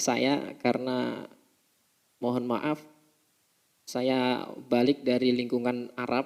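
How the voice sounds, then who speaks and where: A man speaks very slowly with long, frequent pauses. His medium-pitched voice has monotone, flat intonation. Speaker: Islamic preacher teaching a religious text. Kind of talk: religious study lecture. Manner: halting, with self-corrections.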